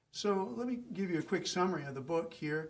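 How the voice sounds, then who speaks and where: The speaker is a man. Audible room echo surrounds his voice. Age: 60s. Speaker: pastor. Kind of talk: lecture.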